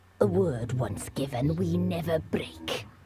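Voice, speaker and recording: At a fairly slow pace, someone uses a put-on character voice with a low pitch. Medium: video game. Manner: sly, mocking.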